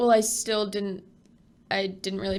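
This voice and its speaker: This woman has vocal fry in her voice. Her pitch sits in the medium range. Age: 20s. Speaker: guest. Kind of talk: casual chat.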